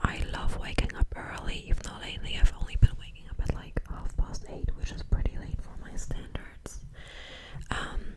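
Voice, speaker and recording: Noticeable noise sits in the background. Through it, a woman whispers. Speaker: ASMR content creator. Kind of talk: ASMR Q&A, close-up whispering to camera. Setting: home, filming at her place. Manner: soft, whispered, casual, chatty.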